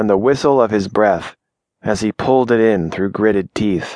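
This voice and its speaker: An unremarkable speaking voice at a moderate pace, with a dry, close sound with no echo and a quiet background. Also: man. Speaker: audiobook narrator. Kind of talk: audiobook narration of fiction; dramatic first-person narration. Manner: tense, hushed, suspenseful pacing; shifts between narrator and menacing, low, controlled character voices.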